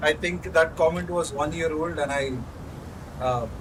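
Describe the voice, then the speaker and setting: A man speaks with an Indian accent in a fairly high voice. Noticeable background noise runs behind him. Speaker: gaming streamer. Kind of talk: live gameplay commentary. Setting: at the office. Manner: casual, halting with fillers.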